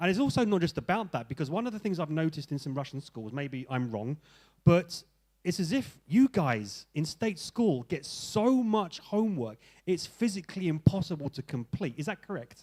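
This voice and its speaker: On a very clean recording with a silent background, a man with a London accent talks at a moderate pace in a fairly high, animated voice with very wide pitch swings. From England (London). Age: 40s. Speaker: English teacher and seminar speaker. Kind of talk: seminar talk to teachers. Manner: animated, conversational.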